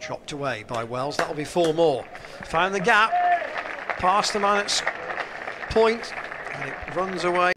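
Amid crowd noise in the background, a man with a high pitch talks at a fairly slow pace with lively intonation and long, frequent pauses. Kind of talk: live cricket commentary. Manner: fluent, measured, steady delivery.

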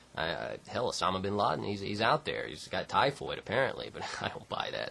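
A man at a fairly quick pace, with hardly any pauses and big swings in loudness. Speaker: political video blogger. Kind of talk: casual political commentary. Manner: halting.

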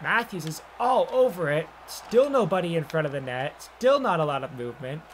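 Light background noise sits under the recording. A man talks in a high pitch. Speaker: video game streamer and sports commentator. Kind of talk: live play-by-play commentary over video game footage, mixed with casual chat. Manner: rapid-fire, excitable play-by-play; clipped name-and-action calls; chatty, conversational between plays. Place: home room.

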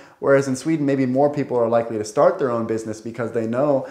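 Over a quiet background, a man with an American accent talks with audible room echo. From US, Portland. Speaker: YouTuber. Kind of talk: vlog commentary. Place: kitchen.

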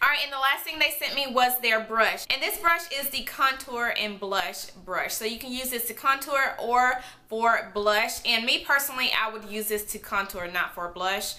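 Using hardly any pauses, a woman speaks at a high pitch and a moderate pace with ordinary pitch variation. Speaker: beauty vlogger. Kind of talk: product review vlog. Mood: enthusiastic, upbeat. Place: home room.

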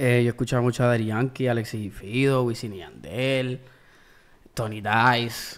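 This man talks at a very slow pace, with long, frequent pauses. His intonation stays fairly even. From US (Maryland/Washington D.C.), then Puerto Rico from 15. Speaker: musician. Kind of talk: casual interview. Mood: relaxed, reflective. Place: studio. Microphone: studio mic.

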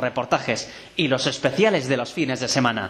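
Using lively intonation, a man of medium pitch talks at a moderate pace. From Spain. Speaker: voice actor. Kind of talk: radio promo read.

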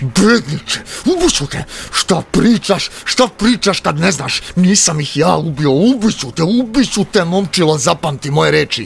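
Clear background noise sits behind the speech. A man talks with a high pitch and lively intonation.

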